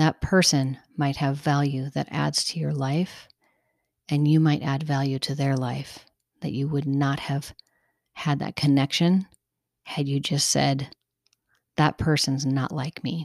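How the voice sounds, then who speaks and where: A woman's very deep, low voice with a warm tone, monotone and flat, at a fairly slow pace with long, frequent pauses, in a very clean recording with a silent background. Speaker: podcast host. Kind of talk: solo podcast monologue, personal storytelling. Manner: conversational, warm, reflective; unscripted, unedited, slightly halting.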